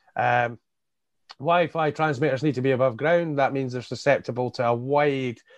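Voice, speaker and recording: A man speaks with a Scottish accent. His pitch sits in the medium range. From Scottish Borders (Hawick). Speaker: independent election candidate and carer. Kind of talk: interview. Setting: video call.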